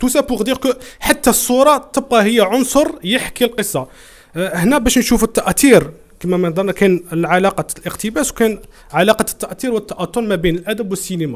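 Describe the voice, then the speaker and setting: A man speaks fairly quickly at a high pitch with lively intonation. The background is quiet. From Algeria. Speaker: literary club host. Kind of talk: moderated literary discussion. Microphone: webcam.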